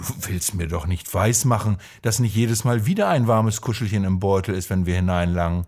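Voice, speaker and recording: Somewhat breathy, gentle tone on a very clean recording with a silent background. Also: man. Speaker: coach and podcaster. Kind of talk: bedtime-style fairy tale telling, told calmly and warmly to listeners. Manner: slow, gentle, storytelling cadence.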